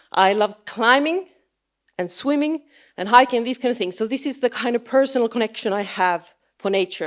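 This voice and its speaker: A woman with a Finnish accent talks at a moderate pace in a fairly high pitch. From Finland. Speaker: biologist and science communicator. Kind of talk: conference talk. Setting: stage with audience. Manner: halting.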